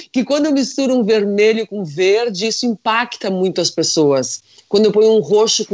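A woman with a normal speaking voice talks at a medium pitch. Her intonation is lively and her pace moderate. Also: hardly any pauses. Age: 50s. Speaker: fashion consultant. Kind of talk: casual chat.

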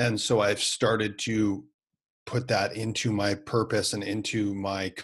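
A somewhat breathy man's voice with a Canadian accent. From Canada, Winnipeg. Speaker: business coach. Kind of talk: interview.

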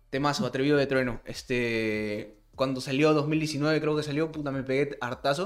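In a Peruvian accent, a man speaks at a moderate pace with hardly any pauses, using a fairly high pitch and fairly even intonation. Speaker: podcast co-host. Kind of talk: casual chat. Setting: online voice call.

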